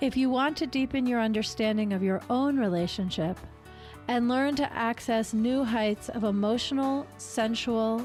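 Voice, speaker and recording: Music plays behind a woman speaking. Her voice sits fairly high, with ordinary pitch variation. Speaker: podcast host. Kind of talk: podcast intro.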